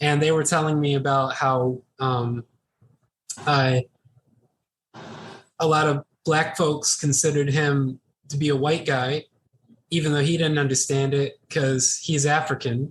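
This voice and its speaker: A man with an American accent speaks in a flat monotone at a fairly slow pace, his somewhat breathy voice held at very even loudness and broken by long, frequent pauses. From United States. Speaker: podcast co-host. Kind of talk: casual chat. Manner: halting.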